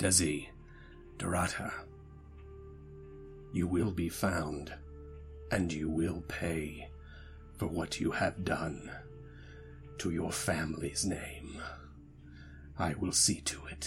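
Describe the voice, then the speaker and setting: Over clear background music, a man uses a put-on character voice with a very deep, low pitch, speaking at a very slow pace with long, frequent pauses. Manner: sinister, threatening.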